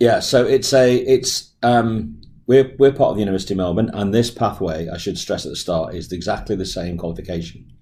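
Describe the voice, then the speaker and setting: The voice is somewhat breathy with a dark, mellow tone and an English accent, and it shows ordinary pitch variation. It moves at a fairly quick pace with hardly any pauses and big swings in loudness. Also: man, fairly low pitch for a man. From England. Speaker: medical professor. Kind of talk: interview.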